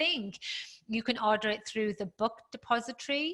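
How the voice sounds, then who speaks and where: A woman with a British accent speaks at a moderate pace. Her fairly high voice sits over noticeable background noise. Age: 50s. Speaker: fitness professional and author. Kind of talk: interview chat.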